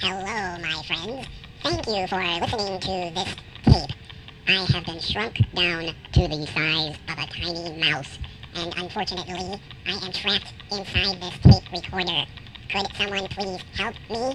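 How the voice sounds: A put-on character voice at a middle pitch plays over clear background noise. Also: moderate pace.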